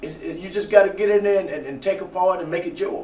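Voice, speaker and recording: A man with a Southern US accent speaks at a high pitch and a fairly quick pace. Audible room echo and noticeable background noise fill the recording. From US South, eastern Alabama. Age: 60s. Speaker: actor, former radio announcer. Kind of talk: interview. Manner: halting, many fillers and repeats.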